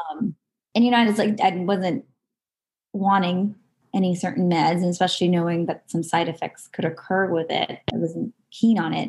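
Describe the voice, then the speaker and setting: Speaking in an American accent, a woman has a medium pitch and a somewhat breathy voice. She talks at a moderate pace with ordinary pitch variation. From Southern California. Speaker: nurse practitioner and holistic health practitioner. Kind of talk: casual interview chat.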